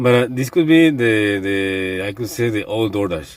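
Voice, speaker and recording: This man speaks in a fairly low voice. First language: not English. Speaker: delivery driver, vlogger. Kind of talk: casual vlog monologue. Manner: halting, many repetitions and fillers.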